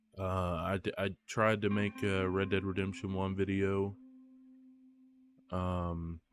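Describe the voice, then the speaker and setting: Over background music, a man with a very deep, low voice speaks very slowly in a flat monotone, leaving long, frequent pauses. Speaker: gaming video creator. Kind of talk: casual gameplay commentary.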